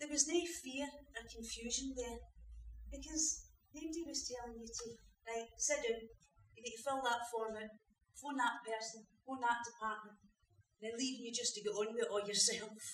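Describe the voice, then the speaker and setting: With a Scottish accent and a high pitch, a woman speaks with big swings in loudness and long, frequent pauses, amid audible room echo and light background noise. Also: ordinary pitch variation, moderate pace. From Scotland. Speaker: actor playing a supportive partner in a drama. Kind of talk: dramatic monologue, acted performance. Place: stage. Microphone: camera far.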